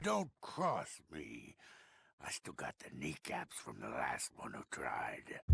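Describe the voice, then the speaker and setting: Putting on a character voice, a man rumbles in a raspy tone with big swings in loudness. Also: fairly slow pace. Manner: menacing.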